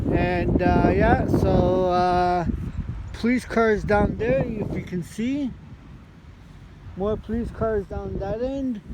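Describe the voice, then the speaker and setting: Noticeable background noise behind a man at a very slow pace, with long, frequent pauses. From Montreal, Quebec. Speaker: lawn care worker, vlogger. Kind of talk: casual vlog narration. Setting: outdoors. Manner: casual, halting with fillers.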